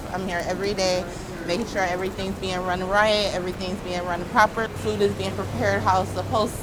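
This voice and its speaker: A woman with an American accent at medium pitch with fairly even intonation, set against noticeable background noise and audible room echo. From Ohio. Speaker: restaurant manager. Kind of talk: casual interview. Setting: restaurant.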